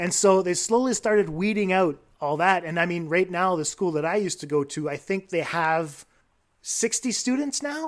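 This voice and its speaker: A man's high voice with a slight French-Canadian accent at a moderate pace, on a very clean recording with a silent background. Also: lively intonation. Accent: slight French-Canadian tinge to English. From Quebec, Canada (Baie-Comeau), anglophone. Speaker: teacher. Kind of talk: casual podcast chat.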